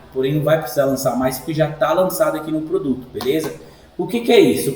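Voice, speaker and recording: There is audible room echo around a man speaking at a fairly high pitch. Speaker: sign shop owner giving software tutorial. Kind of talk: screen-recorded tutorial. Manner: casual, informal.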